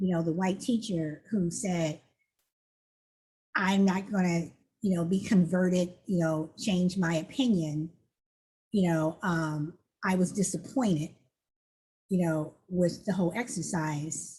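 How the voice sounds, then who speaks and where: Somewhat breathy and dark, mellow in tone, a woman with a fairly low pitch speaks at a fairly slow pace with ordinary pitch variation and very even loudness, pausing long and often. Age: 60s. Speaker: talk show host. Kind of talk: commentary on a played video.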